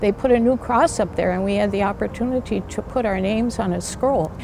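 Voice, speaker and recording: Noticeable noise runs behind the recording. A woman speaks at a moderate pace. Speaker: parishioner and benefactor. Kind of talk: testimony.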